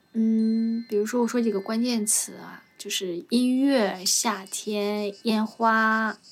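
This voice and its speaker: A woman's fairly high voice at a very slow pace, monotone and flat, with hardly any pauses, big swings in loudness and music in the background. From Northeast China, Jilin province. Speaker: street vendor and podcast host. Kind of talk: casual interview chat.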